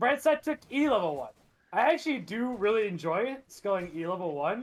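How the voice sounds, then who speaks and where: The speaker is loud and moves at a fairly quick pace. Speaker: esports caster. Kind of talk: live commentary. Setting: live stream.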